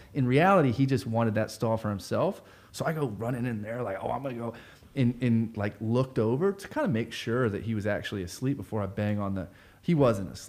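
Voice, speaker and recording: A man with an American accent talks at a fairly quick pace in a medium pitch. His pitch variation is ordinary, and he has a normal speaking voice. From Florida (Sanford, central Florida). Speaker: nonprofit community organizer. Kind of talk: casual interview conversation.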